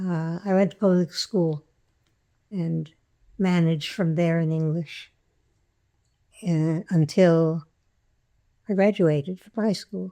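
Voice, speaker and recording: Speaking at a very slow pace with long, frequent pauses, a woman has a dark, mellow tone, fairly low pitch and fairly even intonation. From France, then New York (Queens). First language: French. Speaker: health and education activist. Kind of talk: oral history interview. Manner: halting, with many fillers.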